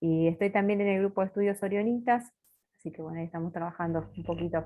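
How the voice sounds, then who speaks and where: Fairly low in pitch, a woman speaks at a very fast pace with fairly even intonation. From Buenos Aires, Argentina. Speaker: religious sister giving formation talk. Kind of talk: formation talk.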